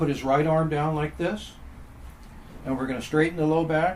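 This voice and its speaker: At a moderate pace, a man speaks with a fairly high pitch and fairly even intonation, with audible room echo. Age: 70s. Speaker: exercise and back pain instructor. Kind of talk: tutorial. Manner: calm, instructional pacing with breathing cues.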